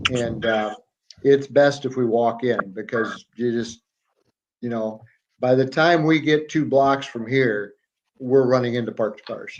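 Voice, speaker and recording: A man with an American accent, medium-pitched, at a fairly slow pace with long, frequent pauses. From US Midwest, Iowa. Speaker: guest expat. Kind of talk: casual chat.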